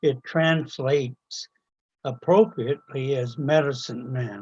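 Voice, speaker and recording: Somewhat breathy and fairly high-pitched, a man speaks at a very slow pace with ordinary pitch variation in a dry, close sound with no echo. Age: 80s+. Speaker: resident making a public delegation. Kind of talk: prepared statement at a council meeting.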